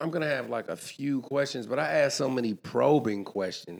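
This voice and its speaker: Lively intonation carries speech delivered at a moderate speed. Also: man. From Oakland, California (Northwest). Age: 40s. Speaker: podcaster and music figure. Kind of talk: casual chat.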